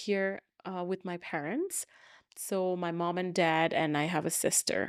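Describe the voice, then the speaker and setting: In a very clean recording with a silent background, a woman with a Bengali accent speaks at a moderate pace in a medium pitch with ordinary pitch variation. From Bangladesh. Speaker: educator and former newscaster. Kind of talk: interview conversation.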